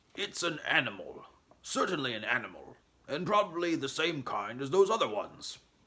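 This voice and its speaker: Using a put-on character voice, a man speaks in a high pitch. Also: moderate pace. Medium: read story. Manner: gruff, huffy.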